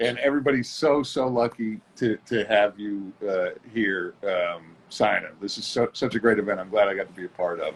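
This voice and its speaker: Over noticeable background noise, a man talks at a moderate pace with hardly any pauses, his fairly low pitch showing ordinary variation and his loudness swinging widely. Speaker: co-host of live stream; former bouncer. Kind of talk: casual chat.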